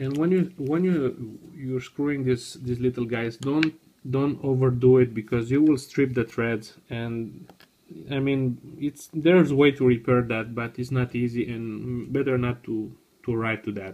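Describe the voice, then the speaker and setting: The speaker has a non-native accent and a fairly slow pace. The intonation stays fairly even. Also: man, medium pitch for a man. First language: not English. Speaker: tech hobbyist video maker. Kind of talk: tutorial. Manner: halting.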